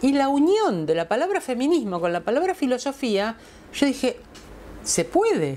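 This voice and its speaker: A woman's high-pitched voice at a moderate pace, dark and mellow in tone, with very wide pitch swings. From Argentina. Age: 60s. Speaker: feminist philosopher; interviewee. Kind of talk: testimonial interview. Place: home room. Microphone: lapel.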